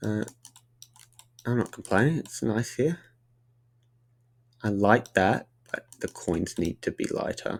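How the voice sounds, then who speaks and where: A man with an Australian accent and medium pitch uses lively intonation at a fairly slow pace, with long, frequent pauses. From Tasmania, Australia. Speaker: streamer and 3D environment artist. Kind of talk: casual live stream chat while working.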